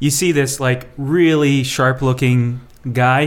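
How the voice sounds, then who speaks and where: With a normal speaking voice at medium pitch, a man talks using ordinary pitch variation. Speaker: tabletop game master. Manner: relaxed, laughing storyteller.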